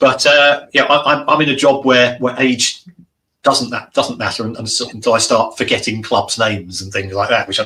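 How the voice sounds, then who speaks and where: The speaker uses a plain, everyday voice at a moderate pace, with ordinary pitch variation. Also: man. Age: 60s. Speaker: football finance expert. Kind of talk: interview.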